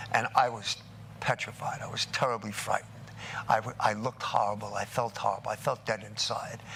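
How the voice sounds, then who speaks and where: Against noticeable background noise, a man with an American accent speaks in a monotone, flat intonation. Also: medium pitch for a man, fairly quick pace. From New York, Brooklyn. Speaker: recovering addict speaker. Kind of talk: testimony.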